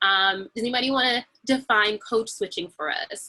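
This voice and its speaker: With music in the background, a woman speaks at a moderate pace with lively intonation. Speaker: panel facilitator. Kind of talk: panel discussion on video call. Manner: animated.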